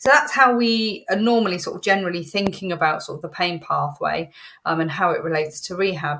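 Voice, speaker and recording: A woman's bright, sharp voice at medium pitch with ordinary pitch variation. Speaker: animal rehabilitation educator. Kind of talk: educational talk. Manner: hesitant with many fillers.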